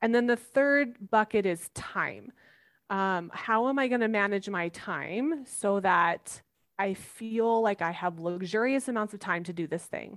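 On a very clean recording with a silent background, a woman with a normal speaking voice talks at a fairly slow pace, with a medium pitch and ordinary pitch variation. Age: 40s. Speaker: life coach. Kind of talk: interview.

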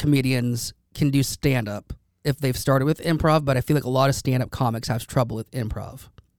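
Fairly quick and with hardly any pauses, a man speaks in an unremarkable speaking voice at a fairly high pitch with ordinary pitch variation. The sound is dry and close, with no echo. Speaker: podcast host. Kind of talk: casual chat.

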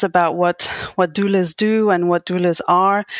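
Recorded very cleanly with a silent background, a woman speaks at a moderate pace with fairly even intonation, in a dry, close sound with no echo. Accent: French. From France. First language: French. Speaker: podcast host and postpartum doula. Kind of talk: interview.

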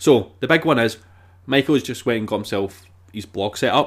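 A man speaks in a normal speaking voice at medium pitch with lively intonation. His pace is fairly quick. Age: 30s. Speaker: film podcast host. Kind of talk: casual chat.

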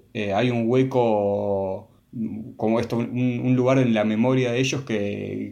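A man talks with a Rioplatense accent at a medium pitch and a fairly slow pace. His intonation is monotone and flat, against a quiet background. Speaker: film podcast co-host. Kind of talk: casual chat. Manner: halting, with repetitions.

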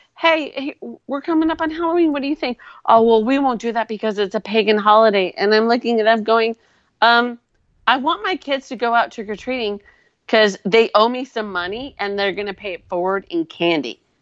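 A woman with an American accent speaks in a plain, everyday voice at a fairly quick pace, her fairly high pitch carrying lively intonation over a quiet background, with a dry, close sound and no echo. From Wisconsin. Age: 40s. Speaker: co-host guest, commentator. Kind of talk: casual chat. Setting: live video stream.

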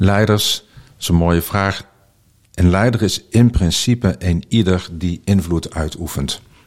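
Recorded very cleanly with a silent background, the speech has ordinary pitch variation. The pace is very slow. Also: man, very deep, low pitch for a man. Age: 40s. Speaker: founder of a school for transition, speaker. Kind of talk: interview conversation. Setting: at a table in person.

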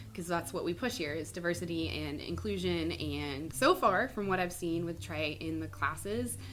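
Talking at a moderate pace with hardly any pauses, a woman with an American accent is heard amid audible room echo. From Mississippi, US South. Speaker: fitness coach. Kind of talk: casual chat.

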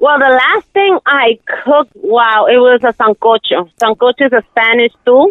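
A woman with an American accent speaks at a moderate pace in a high pitch, her intonation lively and her loudness very even. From US Northeast, Brooklyn, New York. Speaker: home cook and small food business owner. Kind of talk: casual interview. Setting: phone call. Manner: shy.

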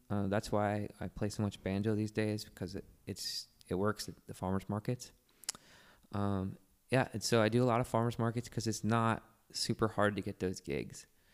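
In an American accent, a man speaks with a fairly low pitch and monotone, flat intonation. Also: moderate pace. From Virginia (Manassas). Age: 40s. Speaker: singer and musician. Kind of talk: casual chat. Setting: studio.

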